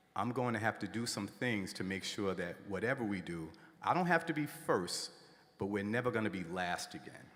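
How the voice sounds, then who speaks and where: A man speaks at a moderate pace in a fairly low pitch, with lively intonation and an unremarkable speaking voice. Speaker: school principal and commencement speaker. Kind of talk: commencement speech.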